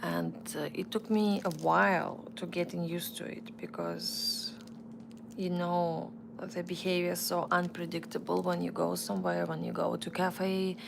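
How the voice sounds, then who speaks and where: A woman speaks with a Russian accent at a moderate pace. Noticeable background noise is present. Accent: non-native English, Russian. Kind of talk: live stream chat. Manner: halting, with restarts.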